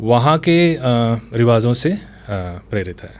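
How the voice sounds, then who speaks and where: With a coastal Karnataka accent, a man talks at medium pitch with lively intonation. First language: Tulu (speaking Hindi). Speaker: novelist and screenwriter. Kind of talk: interview conversation.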